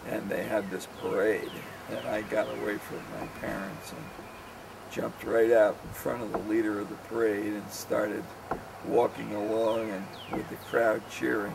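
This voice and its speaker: A man with an American accent at a moderate pace, big swings in loudness, audible room echo and noticeable background noise. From New Jersey / New York area, US. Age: 60s. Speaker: father recounting memories. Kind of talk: oral history reminiscence. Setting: outdoors on a deck. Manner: halting, many fillers.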